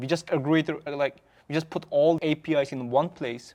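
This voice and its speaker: In a very clean recording with a silent background, a man with a non-native accent talks at a fairly high pitch with fairly even intonation. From Xinjiang, China (Uyghur). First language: Uyghur. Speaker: startup founder. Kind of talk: podcast interview. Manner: halting, with self-corrections.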